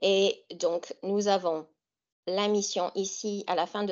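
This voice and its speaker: In an American accent, a woman speaks at a medium pitch and a very slow pace. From US Great Lakes region. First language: English (speaking French). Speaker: author and English teacher. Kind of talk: webinar presentation. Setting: online webinar. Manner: hesitant with fillers.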